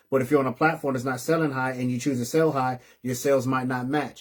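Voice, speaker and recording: A man speaks with an animated tone. His pitch is medium. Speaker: live-stream host for a resale boutique community. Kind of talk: live-stream business advice talk. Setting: live online stream. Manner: fast.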